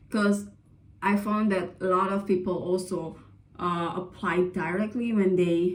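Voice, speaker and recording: With an Indonesian accent, a woman talks in a monotone, flat intonation amid audible room echo. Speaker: vlogger, scholarship applicant. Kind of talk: casual advice vlog. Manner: hesitant, many fillers.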